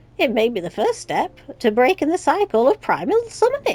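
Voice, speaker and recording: A put-on character voice sounds strained and guttural. It moves at a moderate pace. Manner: throaty, strained.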